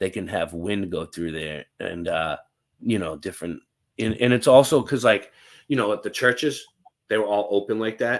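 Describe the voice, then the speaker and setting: This man has a Boston accent and a fairly low pitch. His intonation is lively. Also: moderate pace. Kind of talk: casual chat.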